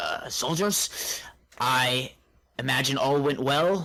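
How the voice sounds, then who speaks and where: A man puts on a character voice, pitched fairly high. He speaks very slowly. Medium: actual play. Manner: brisk, commanding.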